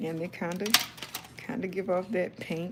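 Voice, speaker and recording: A woman with a Southern US accent speaks very slowly in a calm, relaxed tone at medium pitch. Noticeable background noise runs behind her. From South Carolina, US South. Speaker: YouTuber and author. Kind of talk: live stream casual chat while coloring.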